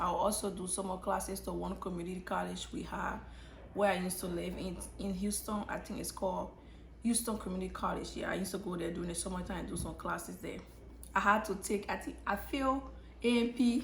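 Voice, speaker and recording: Talking at a very fast pace, a woman is heard with audible room echo and noticeable background noise. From Liberia. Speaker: YouTuber, nursing student. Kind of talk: casual story time vlog. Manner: conversational with frequent fillers and restarts.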